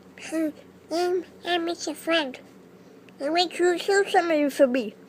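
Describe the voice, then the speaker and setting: This is a cartoonish character voice. The pitch is extremely high. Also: moderate pace. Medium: puppet. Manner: hesitant.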